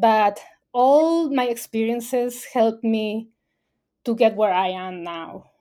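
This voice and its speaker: A woman with a Spanish accent speaks very slowly, her fairly high voice dark and mellow with ordinary pitch movement. The recording is very clean, with a silent background. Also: big swings in loudness. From Mexico, Baja California Sur. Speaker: environmental communications specialist. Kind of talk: interview. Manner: hesitant, many fillers.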